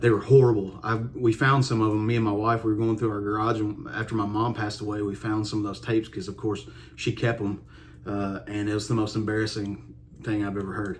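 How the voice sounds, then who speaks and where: A man speaks very fast at a fairly low pitch in a strong Kentucky accent. His intonation is monotone and flat. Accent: strong Kentucky country. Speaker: country musician. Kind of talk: casual vlog monologue. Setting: home music room. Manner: relaxed with many fillers.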